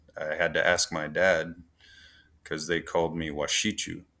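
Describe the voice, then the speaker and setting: Recorded very cleanly against a silent background, a man speaks with an upstate New York accent. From US Midwest, Pine Ridge Reservation, South Dakota. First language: Oneida. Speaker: peer support and suicide prevention specialist. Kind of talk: podcast interview. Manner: halting.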